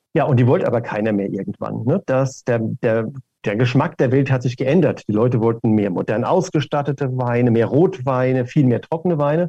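Dark, mellow tone at a fairly quick pace, with ordinary pitch variation and a dry, close sound free of echo. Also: man, medium pitch for a man. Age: 60s. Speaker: wine marketing executive. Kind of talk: interview.

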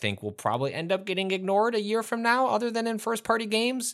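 Very fast and bright with a sharp tone, this man's voice comes through a very clean recording against a silent background. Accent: slight Chicago. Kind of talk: casual chat. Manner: halting.

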